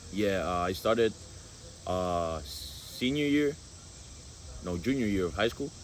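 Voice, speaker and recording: In a Spanish accent, a man with a fairly low pitch talks at a fairly slow pace with lively intonation and long, frequent pauses. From Guatemala. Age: 20s. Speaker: college football goalkeeper. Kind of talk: casual interview. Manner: halting with many fillers.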